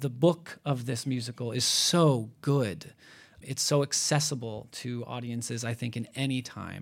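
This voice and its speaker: A man talks in a normal speaking voice at medium pitch with fairly even intonation. His fairly slow delivery is on a very clean recording with a silent background. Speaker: theatre staff member. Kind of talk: panel discussion. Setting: stage with audience.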